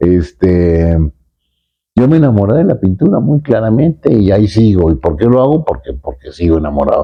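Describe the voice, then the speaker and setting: A man with a fairly low voice. His pitch swings very widely. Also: moderate pace. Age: 70s. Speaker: painter. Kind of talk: interview. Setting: artist's studio. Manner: halting.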